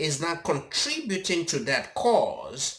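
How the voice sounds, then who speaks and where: A man speaks at a very slow pace in a fairly high pitch. His tone is bright and sharp, with vocal fry. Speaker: YouTube commentator. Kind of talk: monologue commentary. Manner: halting, many fillers.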